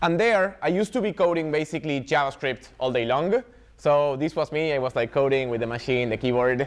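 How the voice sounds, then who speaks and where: With an Argentine accent, a man talks at a fairly quick pace. His pitch is fairly high and his intonation lively. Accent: non-native, Argentine. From Argentina, Buenos Aires. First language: Spanish. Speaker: software developer advocate, meetup speaker. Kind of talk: tech talk.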